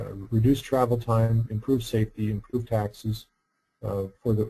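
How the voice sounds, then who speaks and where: At a moderate pace, a man speaks in a medium pitch with a dark, mellow tone that is somewhat breathy. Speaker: roundabout engineer and workshop presenter. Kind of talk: webinar lecture. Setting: online webinar. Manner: soft-spoken; halting with repetitions.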